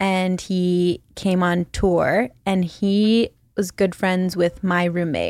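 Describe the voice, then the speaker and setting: Speaking at a very slow pace, a woman holds a medium pitch with fairly even intonation and very even loudness, in a very clean recording with a silent background. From Philippines (Manila). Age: 20s. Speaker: podcast host. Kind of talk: casual chat.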